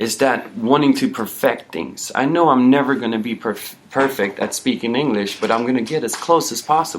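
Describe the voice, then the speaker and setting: With noticeable background noise behind him, a man talks at a moderate pace and hardly any pauses. His pitch is medium, with ordinary variation. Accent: slight Swedish. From Sweden. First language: Swedish. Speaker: personal trainer. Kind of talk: casual interview chat.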